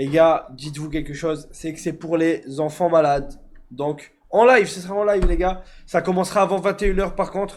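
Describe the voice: This man's voice is fairly high, moving little in pitch as he speaks at a moderate pace.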